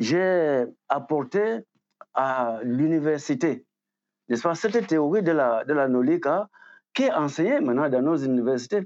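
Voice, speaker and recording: Over a quiet background, a man with fairly high pitch talks at a fairly slow pace with lively intonation, long, frequent pauses and very even loudness. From Cameroon. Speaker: writer and academic. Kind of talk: interview. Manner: halting, many fillers.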